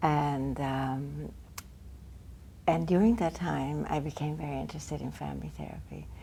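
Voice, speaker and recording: Audible room echo follows a woman who talks at a moderate speed. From Argentina. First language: Spanish. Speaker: family therapist and professor. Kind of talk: interview.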